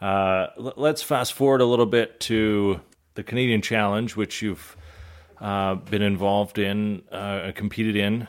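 On a very clean recording with a silent background, a man with an ordinary speaking voice and a fairly low pitch speaks at a fairly slow pace with fairly even intonation. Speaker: podcast host. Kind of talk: interview. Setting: on location at a kennel.

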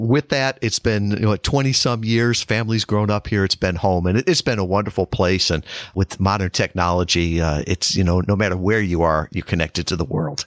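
Dry and close with no echo, the voice has an American accent, a moderate pace, ordinary pitch variation and hardly any pauses. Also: man, fairly low pitch for a man. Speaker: guest. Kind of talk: interview chat.

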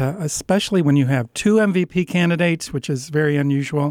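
The recording is very clean, with a silent background and a dry, close sound with no echo. A man with an unremarkable speaking voice and fairly high pitch talks at a moderate pace with ordinary pitch variation. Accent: American. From upstate New York. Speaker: sports journalist. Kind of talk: interview. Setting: studio.

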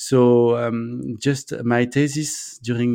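A man's medium-pitched voice with a French accent. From France. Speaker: entrepreneur, co-living founder. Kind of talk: interview. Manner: halting, hesitant with fillers.

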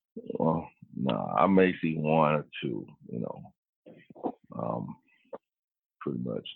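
Speaking at a very slow pace with long, frequent pauses, a man with a Mississippi accent has a very deep, low pitch and ordinary pitch variation. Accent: Southern US (Mississippi). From US South, Vicksburg, Mississippi. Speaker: wild horse program specialist, navy veteran. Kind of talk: interview.

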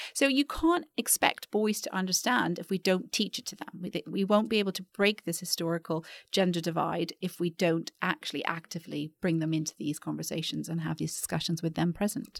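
A plain, everyday voice from a woman, fairly low in pitch, with ordinary pitch variation, a fairly quick pace and hardly any pauses. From Canada (Vancouver). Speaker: educator and founder of a girls' mentoring company. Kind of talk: podcast interview.

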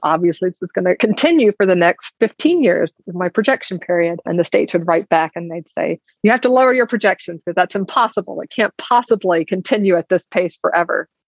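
Speaking with an Alabama accent at a fairly quick pace, a woman keeps a medium pitch and ordinary pitch variation, with a dry, close sound and no echo. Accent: Southern US (Alabama). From US South, Alabama. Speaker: insurance executive. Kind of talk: interview conversation.

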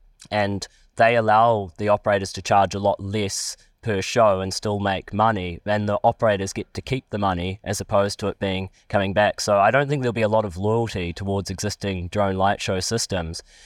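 In a New Zealand accent, a man speaks at a fairly low pitch and fairly quick pace with monotone, flat intonation, in a very clean recording with a silent background and a dry, close sound with no echo. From New Zealand, Palmerston North. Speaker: drone company chief executive, aviation lecturer. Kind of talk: interview.

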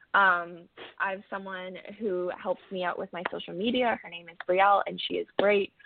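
A woman with an unremarkable speaking voice talks at a moderate pace in a medium pitch, her intonation fairly even. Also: big swings in loudness. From Canada, Ontario (Cambridge). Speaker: country singer-songwriter. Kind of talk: casual interview. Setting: phone call.

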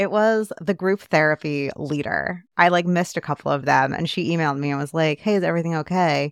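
In a very clean recording with a silent background and a dry, close sound with no echo, a woman with a normal speaking voice, fairly low in pitch, talks at a fairly quick pace with ordinary pitch variation and hardly any pauses. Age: 20s. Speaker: podcast co-host. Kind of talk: casual chat.

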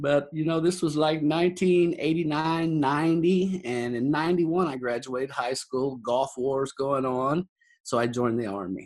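With a Texan accent, a man with a fairly high pitch and ordinary pitch variation speaks at a very slow pace in a very clean recording with a silent background. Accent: Texan American. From Texas panhandle, near Amarillo. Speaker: cowboy and roping event organizer. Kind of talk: interview.

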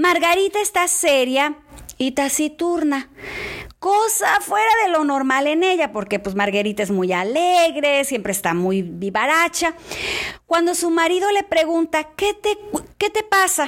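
An animated woman at a fairly slow pace, her extremely high pitch swinging very widely, over noticeable background noise. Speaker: church devotional speaker. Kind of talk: devotional talk.

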